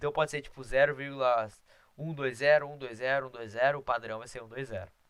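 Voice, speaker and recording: A man talks at a fairly quick pace with a medium pitch. His intonation stays fairly even, though his loudness swings widely. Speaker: math teacher. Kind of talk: lecture. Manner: fast.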